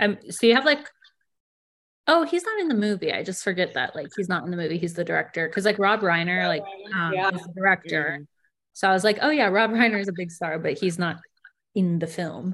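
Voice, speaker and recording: With lively intonation and a fairly quick pace, a woman talks in a normal speaking voice at a medium pitch. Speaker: podcast guest.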